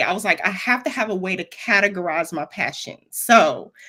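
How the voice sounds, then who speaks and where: Bright and sharp in tone, a woman's fairly high voice carries a Southern US accent and ordinary pitch variation. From Florida, US South. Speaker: web developer and mentor, former educator. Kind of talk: interview. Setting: live stream.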